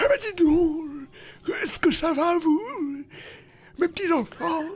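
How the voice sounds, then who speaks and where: A put-on character voice sits at an extremely high pitch. Its delivery is very slow. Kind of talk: affectionate, addressing little children.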